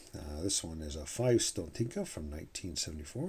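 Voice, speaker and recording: The tone is relaxed, dark and mellow. The voice is somewhat breathy. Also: man. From Canada. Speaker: coin collector YouTuber. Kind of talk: hobby video commentary. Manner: relaxed, with frequent fillers and self-corrections.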